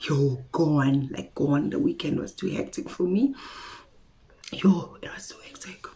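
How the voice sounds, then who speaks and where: Somewhat breathy and dark, mellow in tone, a woman talks at a fairly low pitch and a fairly slow pace. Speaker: beauty vlogger. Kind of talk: casual haul video chat.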